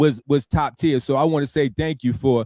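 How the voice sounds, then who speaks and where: The speaker has an unremarkable speaking voice. The pace is moderate, with ordinary pitch variation. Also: man, dry, close sound with no echo. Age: 50s. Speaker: radio talk show host. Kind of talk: casual interview chat.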